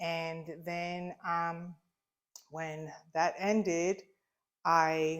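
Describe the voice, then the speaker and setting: In a Long Island accent, a woman speaks at a fairly low pitch with monotone, flat intonation. The recording is very clean, with a silent background. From US, Long Island, New York. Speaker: shop owner. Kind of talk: casual interview. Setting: in her shop.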